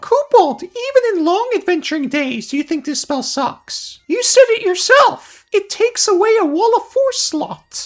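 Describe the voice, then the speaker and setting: A put-on character voice, squeaky and extremely high, moves at a moderate pace with hardly any pauses. Its pitch swings very widely. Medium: solo performance. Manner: reactive, exclamatory.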